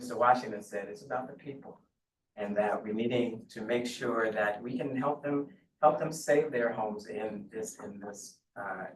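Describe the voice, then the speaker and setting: A man speaks with an American accent and ordinary pitch variation. His loudness swings widely. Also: medium pitch for a man, moderate pace. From US South, Beaufort, South Carolina. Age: 60s. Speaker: task force applicant. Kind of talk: public meeting statement. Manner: halting, many fillers and repeats.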